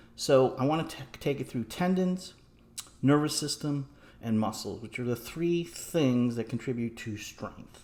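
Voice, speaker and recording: A man at medium pitch and a fairly slow pace, with ordinary pitch variation. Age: 60s. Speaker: fitness vlogger, strength trainer. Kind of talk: casual monologue, advice talk. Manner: halting, many fillers and restarts.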